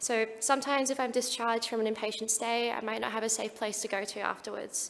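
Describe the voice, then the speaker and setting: She talks at a very fast pace with an Australian accent. The woman's fairly high pitch stays monotone and flat. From Australia (Perth). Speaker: speaker with lived experience of suicide, mental health professional. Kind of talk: conference talk.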